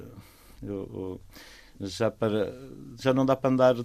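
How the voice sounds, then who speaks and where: A man talks at a fairly slow pace, at medium pitch with ordinary pitch variation. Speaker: volunteer beach clean-up organiser. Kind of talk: casual chat. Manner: animated; halting.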